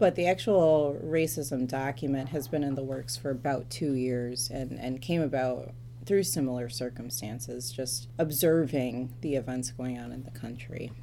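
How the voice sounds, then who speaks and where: A woman's very deep, low voice in an American accent, dark and mellow with vocal fry, ordinary pitch variation, big swings in loudness, a moderate pace and hardly any pauses, in audible room echo. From Metro Detroit, Michigan, US. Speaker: church policy staffer, former lawyer and judge. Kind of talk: interview.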